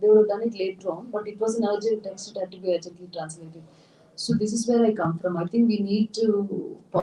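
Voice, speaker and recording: A woman with a Tamil accent speaks at a fairly quick pace in a medium-pitched voice, her loudness swinging widely while her intonation stays fairly even. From India, Tamil Nadu. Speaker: writer and translator. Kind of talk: public talk Q&A.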